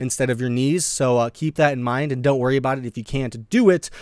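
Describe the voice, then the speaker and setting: The recording is very clean, with a silent background. A man at a fairly high pitch talks with fairly even intonation. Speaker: fitness youtuber. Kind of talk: tutorial. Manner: casual, hesitant with fillers.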